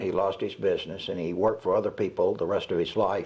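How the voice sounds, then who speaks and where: In a Southern US accent, this voice moves along at a moderate pace. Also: man. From US South (Georgia and Alabama). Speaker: retired radio announcer. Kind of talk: oral history interview. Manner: halting, many fillers.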